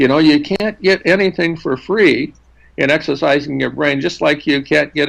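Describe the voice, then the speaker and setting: A man speaks at a moderate pace with vocal fry. His pitch varies in an ordinary way. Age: 70s. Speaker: neuroscientist. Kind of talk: interview. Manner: halting, many repetitions.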